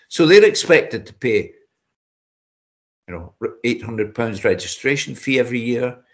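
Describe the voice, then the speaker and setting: A man in a Scottish accent speaks at a moderate pace. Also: quiet background. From Scotland. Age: 70s. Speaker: amateur boxer. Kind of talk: interview answer.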